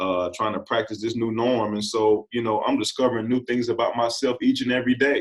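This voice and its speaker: A man speaks with an American accent in a plain, everyday voice at a fairly quick pace. His pitch sits in the middle range, and his intonation stays fairly even. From US Midwest, southeast Missouri (Bootheel). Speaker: basketball coach. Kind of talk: interview.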